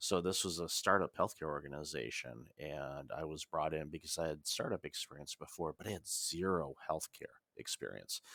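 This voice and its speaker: An American man speaks at a moderate pace in a very deep, low voice with vocal fry. His tone is bright and sharp, and his pitch varies ordinarily. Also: hardly any pauses, dry, close sound with no echo. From United States. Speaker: business consultant and author. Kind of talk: podcast interview.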